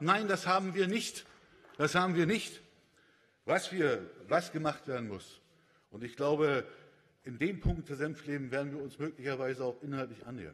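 Long, frequent pauses break up a moderate pace. The intonation is lively, with big swings in loudness. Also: man, fairly high pitch for a man. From Brandenburg, Germany (Bernau); Brandenburg. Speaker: politician, parliamentary group leader. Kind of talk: parliamentary speech. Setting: parliament chamber. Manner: halting, with repetitions and fillers. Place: hall. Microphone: podium.

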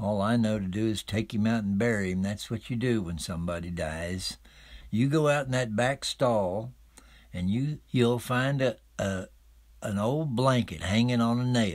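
A man speaks at a moderate pace with an Appalachian accent and ordinary pitch variation, recorded very cleanly against a silent background. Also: medium pitch for a man. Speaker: storyteller. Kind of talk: folk tale telling.

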